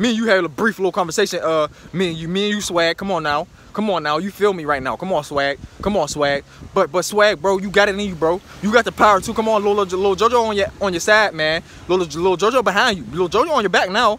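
A very fast, high-pitched male voice with dry sound and no echo. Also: ordinary pitch variation. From Pittsburgh, Pennsylvania, US; Pennsylvania. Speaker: social media commentator. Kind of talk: impassioned vlog monologue. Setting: self-recorded video on camera. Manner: emphatic, repetitive. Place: street. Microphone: phone near.

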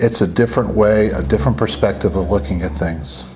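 With light background noise, a man speaks at a moderate pace. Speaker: preacher. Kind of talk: sermon. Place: church. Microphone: podium.

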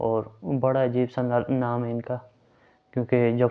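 A man talks in a monotone, flat intonation. The background is quiet. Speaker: vlogger. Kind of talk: casual vlog intro. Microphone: lapel.

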